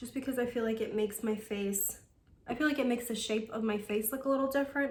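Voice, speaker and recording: The voice is somewhat breathy, with ordinary pitch variation. Audible room echo is present. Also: woman. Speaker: beauty vlogger. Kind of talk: makeup tutorial. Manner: casual, chatty; fast.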